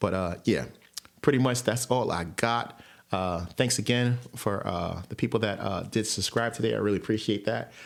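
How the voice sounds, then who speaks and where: A man speaks with a fairly low pitch, some vocal fry, ordinary pitch variation and an American accent. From New York. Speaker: sports podcaster. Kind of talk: casual monologue. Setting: home recording with headphones. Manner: fast.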